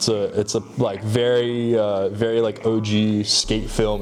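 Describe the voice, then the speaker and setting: A medium-pitched man with an American accent, amid noticeable background noise. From Hawaii. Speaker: fashion designer. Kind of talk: interview. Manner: casual, filler-heavy.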